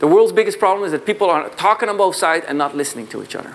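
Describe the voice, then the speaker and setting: A man with a Dutch accent. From southern Netherlands. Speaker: sales consultant and founder; conference speaker. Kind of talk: conference keynote talk. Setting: stage with audience. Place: hall. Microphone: lapel.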